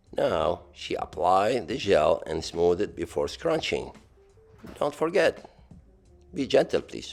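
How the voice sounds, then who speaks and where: Music plays in the background as a man speaks. He goes at a very slow pace with long, frequent pauses. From Lebanon. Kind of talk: playful tutorial voiceover. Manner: humorous.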